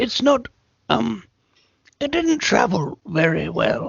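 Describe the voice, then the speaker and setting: In a raspy, put-on character voice, the speaker moves at a fairly slow pace. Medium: actual play. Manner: comic, hesitant.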